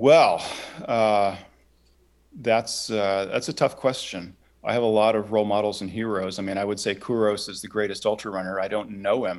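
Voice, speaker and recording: In a very clean recording with a silent background, a man speaks in a normal speaking voice at a moderate pace, with fairly low pitch and fairly even intonation. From Oklahoma. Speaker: ultrarunner. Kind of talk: podcast interview.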